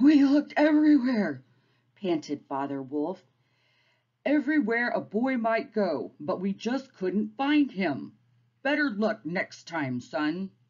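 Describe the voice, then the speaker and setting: This put-on character voice is fairly high and gruff. Its pitch swings very widely at a fairly slow pace. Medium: read story. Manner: gruff, barking.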